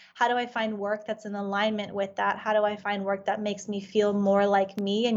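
This woman talks at a moderate pace with a medium pitch. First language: Farsi. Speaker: life coach. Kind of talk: interview.

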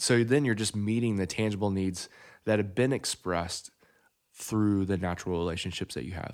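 With a fairly low pitch and ordinary pitch variation, a man in an unremarkable speaking voice talks at a moderate pace on a very clean recording with a silent background. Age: 30s. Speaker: podcast host. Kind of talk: casual chat. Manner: joking.

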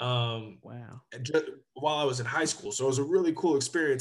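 A man speaks with an American accent in a somewhat breathy voice. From Sacramento, Northern California. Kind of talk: interview.

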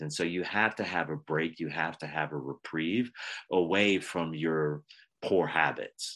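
A man with a very deep, low pitch, an American accent, ordinary pitch variation and a fairly slow pace against a quiet background. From Pennsylvania. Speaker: wellness coach, former Navy SEAL. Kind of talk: interview.

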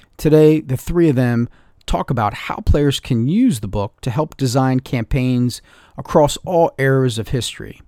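On a very clean recording with a silent background and a dry, close sound with no echo, a man with a normal speaking voice talks at a medium pitch and a fairly slow pace. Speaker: podcast editor. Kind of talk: scripted intro.

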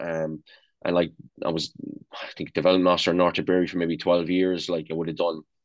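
Over a quiet background, a man with a very deep, low voice speaks fairly quickly in a monotone, flat intonation. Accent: Irish. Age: 40s. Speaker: national youth football coach. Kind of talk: casual interview.

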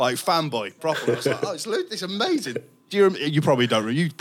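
His pitch swinging very widely, a man with a fairly high voice talks through noticeable background noise. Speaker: radio presenter. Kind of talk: casual chat.

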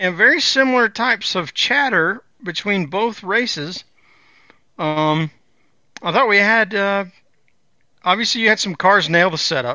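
A man speaks loudly at a high pitch and moderate pace. His intonation is lively, with long, frequent pauses. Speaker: co-host, racing podcaster. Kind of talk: casual banter podcast about racing. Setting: remote from North Carolina studio.

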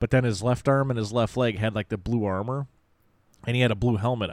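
On a very clean recording with a silent background, a man speaks with fairly even intonation. His is a plain, everyday voice with a fairly low pitch. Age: 40s. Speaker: toy podcast co-host. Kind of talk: casual chat.

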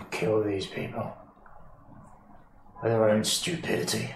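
A man puts on a raspy character voice, fairly low in pitch. He talks at a fairly slow pace, with a slight echo on the recording. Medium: actual play. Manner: curt, gruff.

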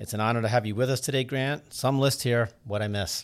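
A man with an American accent speaks at a fairly quick pace in an unremarkable speaking voice. The recording is very clean with a silent background. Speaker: podcast host and lacrosse coach. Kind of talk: casual interview. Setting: studio.

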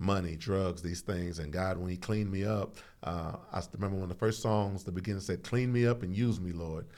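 Speaking in an American accent, a man with a very deep, low pitch talks at a fairly quick pace with hardly any pauses and fairly even intonation. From Houston, Texas. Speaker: pastor. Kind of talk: casual chat. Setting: studio.

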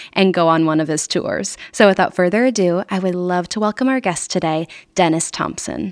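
Fairly low in pitch with ordinary pitch variation, a woman talks in an ordinary speaking voice. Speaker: podcast host. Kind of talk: scripted intro and casual interview.

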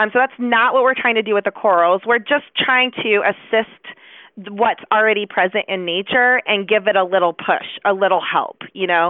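In a normal speaking voice with an American accent, a woman talks at a moderate pace and fairly high pitch, with ordinary pitch variation, very even loudness and hardly any pauses. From Chicago. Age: 40s. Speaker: biology professor. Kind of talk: interview.

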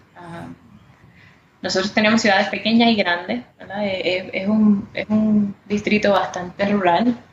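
A woman's medium-pitched voice at a fairly slow pace, with fairly even intonation, big swings in loudness and long, frequent pauses, against noticeable background noise. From Puerto Rico, Caguas. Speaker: congressional candidate. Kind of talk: interview.

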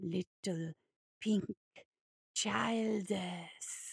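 A female-sounding voice of medium pitch performs a put-on character voice. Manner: slow.

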